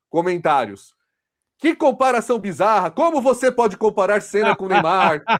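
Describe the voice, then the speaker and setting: In a São Paulo accent, a man with a high pitch speaks at a moderate pace with lively intonation on a very clean recording with a silent background. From São Paulo, Brazil. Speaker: football podcast host. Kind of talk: casual discussion.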